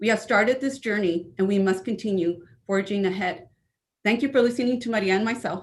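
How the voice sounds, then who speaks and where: A somewhat breathy voice with an American accent, fairly quick pace and ordinary pitch variation. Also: woman, medium pitch for a woman. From California. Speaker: school administrator. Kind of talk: prepared statement at board meeting. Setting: virtual school board meeting.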